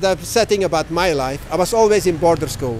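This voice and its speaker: High-pitched man talking at a fairly quick pace with lively intonation, amid noticeable background noise. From Belgium. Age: 50s. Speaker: world traveler. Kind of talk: interview.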